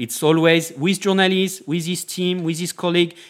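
Speaking with a French accent, a man talks at a high pitch and a moderate pace. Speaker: journalist. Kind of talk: interview. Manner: halting.

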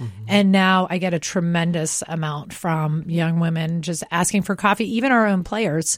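A woman with a normal speaking voice and an American accent talks at a moderate pace and a fairly low pitch, in a very clean recording with a silent background. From US Mid-Atlantic. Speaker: sports team president. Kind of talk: radio interview. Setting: studio.

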